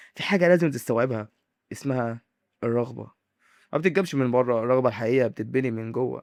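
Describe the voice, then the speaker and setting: The sound is dry and close with no echo on a very clean recording with a silent background, as a man speaks at a fairly quick pace and medium pitch with ordinary pitch variation. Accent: Egyptian. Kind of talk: motivational monologue to camera. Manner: dramatic, with pauses.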